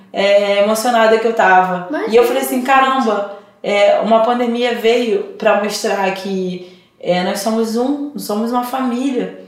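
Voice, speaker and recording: At a fairly slow pace, a woman talks with a fairly high pitch and ordinary pitch variation. Noticeable background noise and audible room echo fill the recording. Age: 30s. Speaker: gospel singer. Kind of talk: interview. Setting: studio. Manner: talkative, animated.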